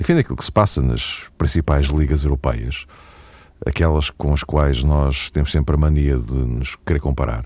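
Background noise is noticeable behind this man. His pitch is very deep and low, and he speaks at a moderate pace. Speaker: radio host. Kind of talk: casual chat.

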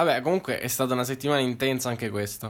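A man with a plain, everyday voice talks at a medium pitch with fairly even intonation. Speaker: football podcast co-host. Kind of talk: casual chat.

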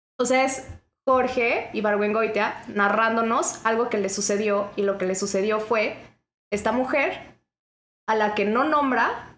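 In a room with audible echo, a woman speaks very slowly at a fairly high pitch. Her intonation is fairly even and her loudness very even. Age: 20s. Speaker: podcast guest, literature graduate. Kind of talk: casual chat.

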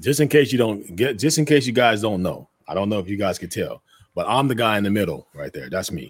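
Talking at a fairly quick pace, a man has an ordinary speaking voice, a fairly low pitch and lively intonation. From Denver, Colorado. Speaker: navy veteran, DJ. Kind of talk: casual chat.

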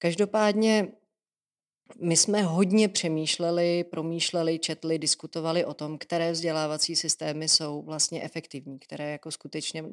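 In a very clean recording with a silent background and a dry, close sound free of echo, a woman with a normal speaking voice talks at a moderate pace in a fairly low pitch. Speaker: deputy education minister, teacher. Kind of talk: interview. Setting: office at a ministry.

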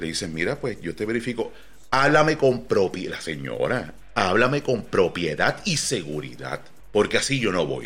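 A man with fairly low pitch, vocal fry, and very wide pitch swings, at a moderate pace. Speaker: podcast host. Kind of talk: casual chat. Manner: animated.

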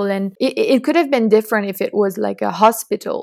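A woman talks with a French accent at a fairly high pitch. Her sound is dry and close, with no echo. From France. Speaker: student climate activist. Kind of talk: interview.

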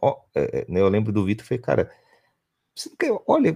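The background is silent and the recording very clean. A man's voice is heard. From São Paulo state countryside, Brazil. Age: 40s. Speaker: company founder and CEO. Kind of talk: interview. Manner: halting, many repeated words.

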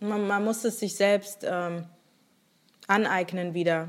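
A woman speaks at a fairly slow pace, her medium-pitched voice carrying fairly even intonation. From Germany, Rhineland-Palatinate. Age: 20s. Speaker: podcaster. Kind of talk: casual chat. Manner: hesitant, many fillers.

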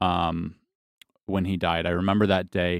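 Very deep and low in pitch, a man with a Midwestern American accent speaks at a moderate pace in a monotone, flat way, captured in a very clean recording with a silent background and a dry, close sound with no echo. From western Michigan, small town. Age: 30s. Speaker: pastor. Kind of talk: testimony.

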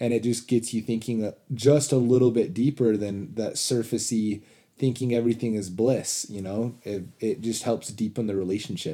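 In an American accent, a man with a dark, mellow, medium-pitched voice speaks at a moderate pace with fairly even intonation. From Utah, US (Orem). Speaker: host's husband. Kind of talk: casual chat.

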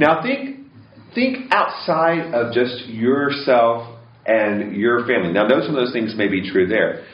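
A man with an American accent at a medium pitch, fairly slow pace and ordinary pitch variation, with audible room echo. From US West Coast. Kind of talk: talk. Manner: halting.

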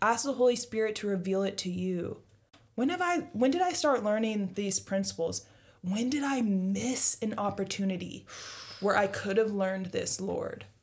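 With a somewhat breathy quality, a woman talks at a moderate pace and a medium pitch. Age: 20s. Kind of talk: casual faith discussion.

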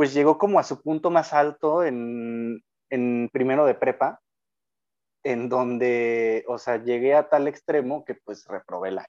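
A man's dark, mellow tone at medium pitch, very slow in pace, in a Mexican accent, with a dry, close sound and no echo. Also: quiet background. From Mexico, Jalisco (Lagos de Moreno). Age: 20s. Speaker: engineering student. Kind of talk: casual chat.

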